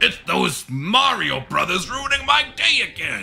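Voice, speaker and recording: A man does a put-on character voice at an extremely high pitch and a fairly slow pace. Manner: villainous, irritated.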